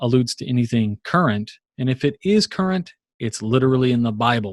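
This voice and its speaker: The man's voice sits at a medium pitch. The sound is dry and close with no echo. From Virginia, US. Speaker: Masonic lecturer and podcaster. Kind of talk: lecture. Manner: fast.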